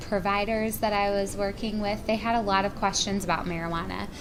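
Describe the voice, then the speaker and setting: An American accent with audible room echo. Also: woman. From North Carolina. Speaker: pharmacy professor. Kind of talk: lecture.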